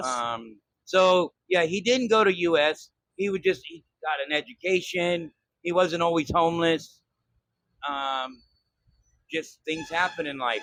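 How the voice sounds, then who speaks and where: Speaking at a very slow pace, a man leaves long, frequent pauses. His pitch is high, with ordinary variation. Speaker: vlogger. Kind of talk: casual talk to camera.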